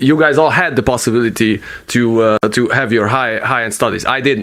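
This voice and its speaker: Noticeable background noise is present. A man's speech moves at a fairly quick pace. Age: 30s. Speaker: podcast host. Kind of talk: casual chat. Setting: home studio in bedroom. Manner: halting.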